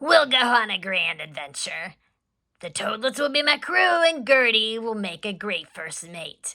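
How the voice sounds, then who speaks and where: Using a put-on character voice, a woman projects loudly at a fairly high pitch with very wide pitch swings. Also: moderate pace. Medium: read story. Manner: salty, nautical.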